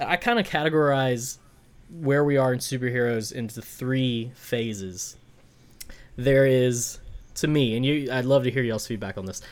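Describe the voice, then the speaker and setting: A man speaks at a moderate pace in a medium pitch with ordinary pitch variation. It is a normal speaking voice. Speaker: podcast co-host. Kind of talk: casual chat.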